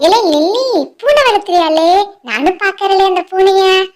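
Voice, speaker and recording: Squeaky and extremely high, a cartoonish character voice moves at a fairly slow pace. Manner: blunt, teasing, rustic.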